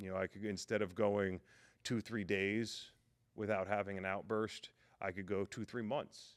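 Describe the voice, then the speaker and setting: On a very clean recording with a silent background, a man's booming, fairly low voice moves at a moderate pace in a monotone, flat intonation. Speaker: podcast guest sharing faith testimony. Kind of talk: testimony.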